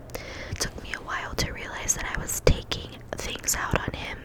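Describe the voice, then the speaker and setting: Whispering at a fairly slow pace, the voice competes with noticeable background noise. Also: woman. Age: 20s. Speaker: ASMR creator. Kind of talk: whispered ASMR ramble giving advice. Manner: whispered, soft-spoken, relaxing.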